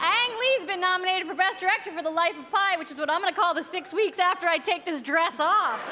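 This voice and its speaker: A woman with an extremely high pitch uses a raised, projected voice at a very fast pace, with hardly any pauses. Her pitch variation is ordinary, and light background noise can be heard. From United States. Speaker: comedian, awards show host. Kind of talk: awards show opening monologue, scripted comedy banter. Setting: live stage with audience. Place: stage. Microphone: podium.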